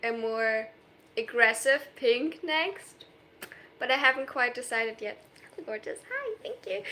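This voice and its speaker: The speaker has a slight German accent and lively intonation. The pace is moderate. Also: woman. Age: 20s. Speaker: streamer. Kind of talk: live stream chat reading comments. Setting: live stream. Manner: animated.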